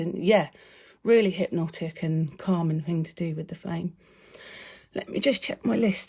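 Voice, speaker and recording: The voice has a dark, mellow tone, is somewhat breathy, and moves with ordinary pitch variation. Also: woman. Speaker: meditation teacher. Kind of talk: live video talk. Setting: live video. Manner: fast.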